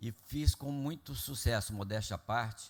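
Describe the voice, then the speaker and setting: A man's somewhat breathy voice, fairly slow and lively in intonation, on a very clean recording with a silent background. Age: 70s. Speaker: public finance official. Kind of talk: public meeting presentation. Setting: council meeting with audience. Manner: formal.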